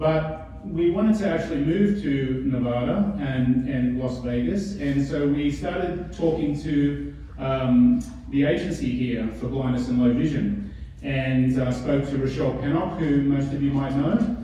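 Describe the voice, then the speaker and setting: Over noticeable background noise and audible room echo, someone with an Australian accent talks at a fairly slow pace with ordinary pitch variation. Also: man, fairly high pitch for a man. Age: 50s. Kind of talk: conference talk. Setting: stage with audience. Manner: casual, with filler words.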